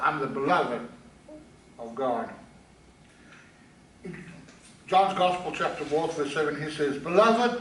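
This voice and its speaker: A man speaks with long, frequent pauses. Noticeable background noise and audible room echo surround him. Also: fairly high pitch for a man. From South Africa. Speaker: pastor. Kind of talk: sermon. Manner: halting.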